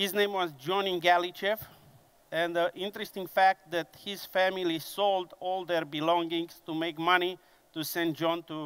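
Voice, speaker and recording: A man speaks in a Romanian accent at a high pitch. His intonation is flat and monotone. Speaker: conference speaker, engineering business director. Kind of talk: conference presentation. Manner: slow, deliberate; hesitant with fillers.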